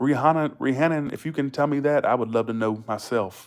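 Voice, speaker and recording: Talking at a fairly quick pace, a man with a Southern US accent uses ordinary pitch variation. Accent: Southern US accent, noticeable. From US South, Georgia. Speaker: live streamer. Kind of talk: casual chat. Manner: fast.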